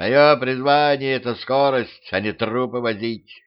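Fairly even intonation in plain reading aloud.

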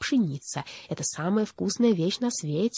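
The text is read in a natural reading voice with lively intonation.

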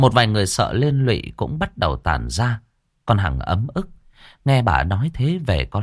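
Quiet background behind a natural reading voice

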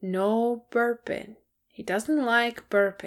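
A put-on character voice at a very slow pace. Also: female-sounding voice. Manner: sleepy, tender.

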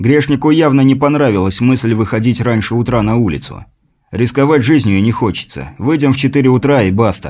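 Ordinary pitch variation from an unforced reading voice, set against a quiet background.

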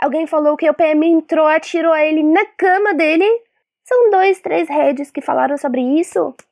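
This voice proceeds at a fairly slow pace. Pitch variation is ordinary. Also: woman. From Syria, Palestinian refugee family. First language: Arabic (speaking Portuguese). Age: 20s. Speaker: filmmaker, activist and teacher. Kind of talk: interview. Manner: halting.

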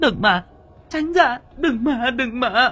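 A man's put-on character voice, extremely high and bright, sharp, with a slightly husky edge, lively intonation and a slow pace, faint music in the background

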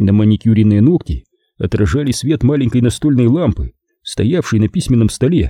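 The background stays quiet. Over it comes a natural reading voice.

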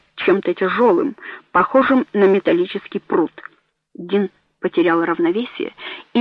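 In a quiet setting, the text is read aloud in a natural voice.

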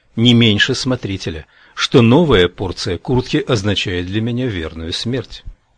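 The pitch moves in an ordinary way. Someone is doing plain reading aloud.

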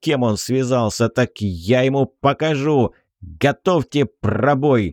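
The background is silent apart from the voice. A person reads aloud in a natural voice, the pitch varying in an ordinary way.

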